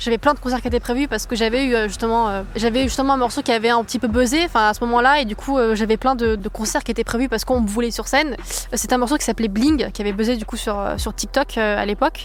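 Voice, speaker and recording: Hardly pausing, a woman speaks at a very fast pace. Her pitch is fairly high and her intonation fairly even. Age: 20s. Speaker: singer. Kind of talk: testimony. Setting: outdoors in a park. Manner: hesitant, many fillers.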